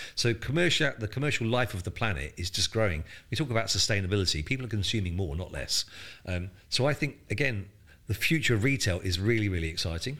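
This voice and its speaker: A man's fairly low, bright, sharp voice at a very fast pace, in a very clean recording with a silent background. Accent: southern English. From southern England coast. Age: 60s. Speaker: retail executive and startup mentor. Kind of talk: interview. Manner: halting, repeats words.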